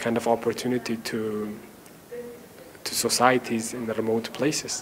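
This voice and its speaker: With light background noise behind him, a man speaks at a medium pitch and a moderate pace. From Tajikistan, Khujand; Tajikistan. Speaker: university maths lecturer. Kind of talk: interview answers to camera. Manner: hesitant, many fillers. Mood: warm, earnest. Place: classroom.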